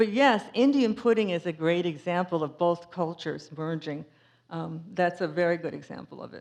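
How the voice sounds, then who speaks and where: A woman with a strong New England accent, fairly low in pitch, with ordinary pitch variation, big swings in loudness and a moderate pace. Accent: thick New England. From Cape Cod, Massachusetts. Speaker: author and speaker. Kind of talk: public talk with Q&A. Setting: museum talk with audience. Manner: casual, with many fillers.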